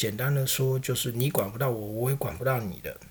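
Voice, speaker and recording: A man speaks with a Taiwanese accent at a medium pitch. His voice is somewhat breathy, at a moderate pace. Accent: Taiwanese Mandarin. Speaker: podcast host. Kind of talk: political commentary monologue. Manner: conversational, frequent filler particles.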